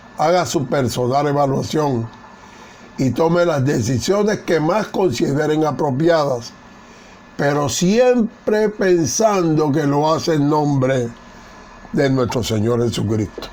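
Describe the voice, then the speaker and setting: Speech at a very slow pace with lively intonation comes through audible room echo and noticeable background noise. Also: man. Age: 80s+. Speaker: Bible teacher. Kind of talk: Bible study lecture. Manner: formal.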